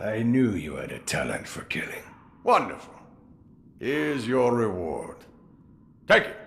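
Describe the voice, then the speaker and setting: Using a put-on character voice of medium pitch, a man swings very widely in pitch and leaves long, frequent pauses. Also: moderate pace. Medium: video game. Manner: wry, chuckling.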